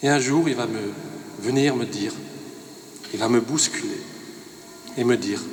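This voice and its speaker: A man's medium-pitched voice with ordinary pitch variation, a moderate pace, long and frequent pauses, audible room echo and noticeable background noise. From Alsace, France (Rosheim). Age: 50s. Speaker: winegrower giving a faith testimony. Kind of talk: testimony. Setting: parish evening event.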